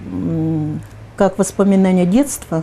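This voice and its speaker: A woman speaks with a dark, mellow tone. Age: 70s. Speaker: public activist. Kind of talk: interview. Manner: halting, with fillers.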